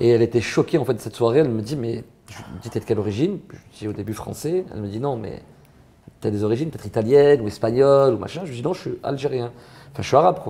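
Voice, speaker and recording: Speaking very fast, a man uses a dark, mellow tone with big swings in loudness. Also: medium pitch for a man, lively intonation. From southern France, Marseille. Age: 30s. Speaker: comedian. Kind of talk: interview. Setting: interview. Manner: casual, animated.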